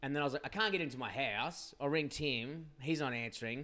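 A man with an Australian accent at a very fast pace, medium pitch, ordinary pitch variation, on a very clean recording with a silent background. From Western Australia, Perth area. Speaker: podcast guest, friend of host. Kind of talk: casual chat.

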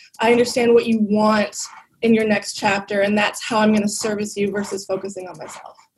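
At a fairly quick pace, a woman speaks in a monotone, flat way, her medium-pitched voice somewhat breathy. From Toronto, Canada. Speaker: tech company guest, documentary filmmaker. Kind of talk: casual interview chat. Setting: video call.

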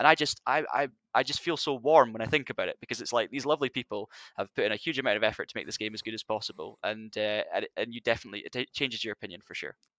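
A man speaks very fast with a Scottish Highland accent. The sound is dry and close with no echo, against a quiet background. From Scottish Highlands. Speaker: video producer. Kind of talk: casual chat.

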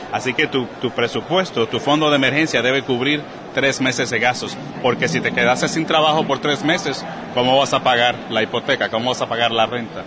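Over noticeable background noise, a man talks at a fairly quick pace with fairly even intonation and very even loudness. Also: medium pitch for a man. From Puerto Rico, Caguas. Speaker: personal finance coach and author. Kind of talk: interview conversation. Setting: podcast conference in Texas.

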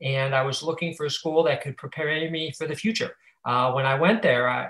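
An ordinary speaking voice with an American accent and fairly even intonation. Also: man. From Ohio, Cleveland. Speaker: finance professional. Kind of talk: interview.

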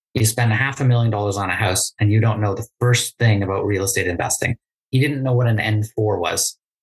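The somewhat breathy voice moves at a fairly quick pace with fairly even intonation, and the sound is dry and close with no echo. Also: man. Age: 30s. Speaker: real estate investor. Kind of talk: interview.

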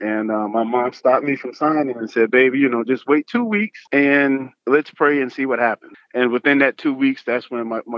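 A man talks at a moderate pace with hardly any pauses. His is a plain, everyday voice at a medium pitch. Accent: American. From North Carolina, Fayetteville. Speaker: Army veteran and real estate investor. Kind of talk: casual interview.

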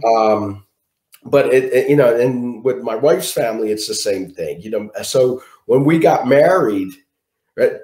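In a Philadelphia accent, a man talks at a fairly slow pace. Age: 40s. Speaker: guest sharing survival story. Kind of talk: interview.

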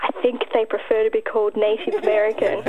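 Very fast and strained, a woman performs a put-on character voice over clear background noise. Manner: strained, tense.

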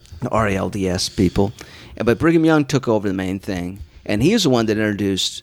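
Fairly quick and lively in intonation, a man with an American accent speaks at a fairly low pitch in a plain, everyday voice. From Utah. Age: 50s. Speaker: comedian. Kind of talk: casual chat.

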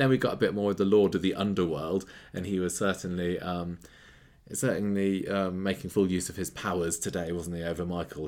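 A man speaks with a very deep, low pitch at a fairly quick pace. His intonation is fairly even. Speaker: podcast host. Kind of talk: casual chat.

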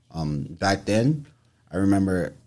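A man with a New York accent speaks at a fairly slow pace on a very clean recording with a silent background. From New York, Haitian family. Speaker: photographer. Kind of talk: casual interview chat. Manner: halting, many fillers.

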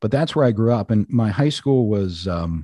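A man with an American accent speaks at a moderate pace in a dark, mellow tone, recorded dry and close with no echo against a quiet background. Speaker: radio host and true-crime podcaster. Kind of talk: casual interview chat.

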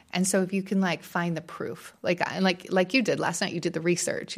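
A woman speaks at a medium pitch and a moderate pace in a normal speaking voice. The recording is very clean, with a silent background. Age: 40s. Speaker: podcaster. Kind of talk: casual chat. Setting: studio.

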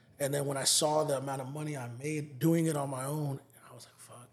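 Somewhat breathy and fairly high-pitched, a man talks with an American accent. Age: 30s. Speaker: music promoter and hip hop artist. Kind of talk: casual interview chat.

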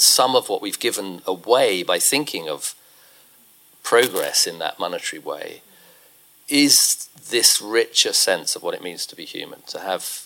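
A man with a British accent at a fairly slow pace, with big swings in loudness. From UK. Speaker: ecological economist and author. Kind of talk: live onstage conversation. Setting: stage with audience.

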